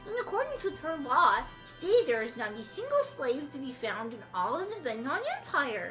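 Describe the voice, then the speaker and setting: A woman puts on a character voice at a high pitch, with very wide pitch swings. She keeps a moderate pace, with clear music in the background. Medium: game stream. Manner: smooth, condescending.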